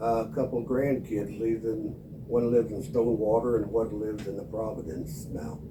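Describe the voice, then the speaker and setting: Noticeable background noise and audible room echo around fairly quick speech, pitch varying in an ordinary way. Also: man, medium pitch for a man. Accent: American. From Missouri. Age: 80s. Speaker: longtime resident. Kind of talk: oral history interview.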